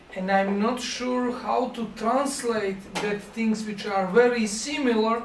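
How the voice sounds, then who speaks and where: A man's high-pitched voice at a very slow pace, with ordinary pitch variation, audible room echo and noticeable background noise. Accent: Montenegrin. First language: Montenegrin. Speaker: film directing professor. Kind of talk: masterclass lecture. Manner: halting.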